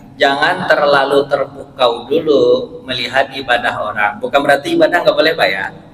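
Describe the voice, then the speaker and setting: With a strong West Sumatran accent, a man talks at a moderate pace and with lively intonation over noticeable background noise. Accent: Minang accent, strong. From West Sumatra (Pariaman, Minang). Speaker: Islamic preacher and university lecturer. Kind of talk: short religious sermon.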